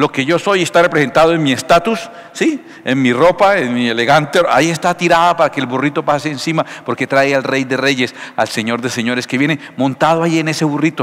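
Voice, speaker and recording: With ordinary pitch variation, the man moves along at a fairly quick pace. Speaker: pastor preaching. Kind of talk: sermon. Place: church. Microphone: headset.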